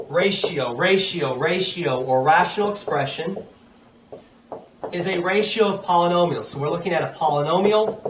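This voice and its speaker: Amid noticeable background noise and audible room echo, a man with a high pitch speaks at a moderate pace with ordinary pitch variation. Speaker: math teacher. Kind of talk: lecture.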